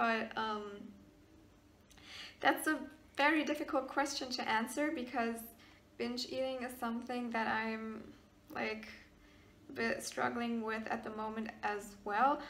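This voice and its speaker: A woman with a German accent speaks at a fairly slow pace and fairly high pitch, with long, frequent pauses. Her intonation is fairly even, and audible room echo is present. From Germany, partly raised in Maryland, US. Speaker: YouTuber. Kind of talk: casual Q&A vlog. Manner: hesitant, many fillers.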